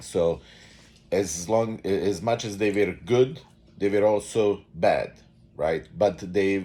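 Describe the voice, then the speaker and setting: Speaking fairly slowly with a Bosnian accent, a man has a very deep, low voice and a dark, mellow tone. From Bosnia and Herzegovina. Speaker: vlogger. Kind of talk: unscripted monologue. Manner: halting, many fillers.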